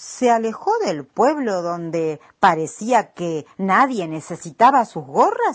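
The speaker is reading aloud in a natural voice. The text comes out at its own rhythm.

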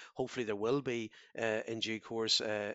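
A man speaks with a Donegal accent at medium pitch. His pace is moderate and his intonation is monotone and flat. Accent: Donegal Irish. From Ireland, Donegal. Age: 50s. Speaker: politician. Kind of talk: interview. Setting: phone line. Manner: halting, frequent repetitions.

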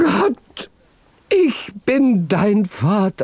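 The speaker performs a put-on character voice at a fairly high pitch. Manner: tearful, emotional.

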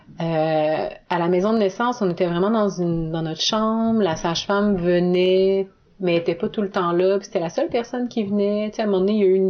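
A woman with an unremarkable speaking voice, medium in pitch, at a fairly quick pace and with fairly even intonation. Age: 30s. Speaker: new mother. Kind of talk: testimony. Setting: at her home.

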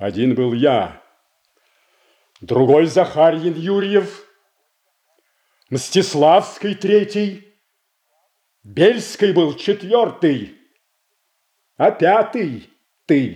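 Using a put-on character voice, a man speaks at fairly high pitch with big pitch swings, a dark, mellow tone, a very slow pace and long, frequent pauses.

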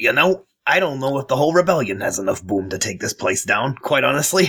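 In a raspy put-on character voice, a man talks at a fairly quick pace and medium pitch with very wide pitch swings. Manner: wry, sober.

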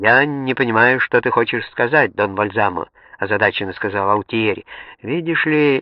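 The speaker uses an unforced reading voice.

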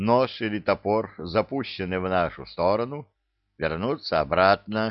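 Over a quiet background, a natural voice reads aloud with ordinary pitch variation.

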